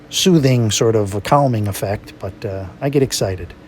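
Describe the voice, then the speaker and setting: Fairly low-pitched male speech at a moderate pace with ordinary pitch variation and noticeable background noise. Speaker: watercolor painting instructor. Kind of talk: tutorial. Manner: animated.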